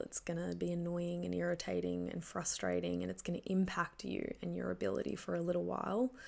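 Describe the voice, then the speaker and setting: The woman talks at a moderate pace. She has an Australian accent. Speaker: podcast host. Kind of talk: solo podcast monologue. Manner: casual, conversational with fillers.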